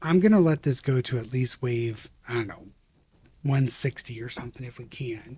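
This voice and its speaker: This man's somewhat breathy voice moves at a moderate pace with ordinary pitch variation. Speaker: gaming video creator. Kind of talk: let's play commentary. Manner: casual, hesitant with fillers.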